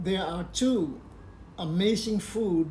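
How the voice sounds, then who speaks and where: Audible room echo surrounds a man who speaks at a very slow pace with ordinary pitch variation. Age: 70s. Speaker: health and faith vlogger. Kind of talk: personal advice talk.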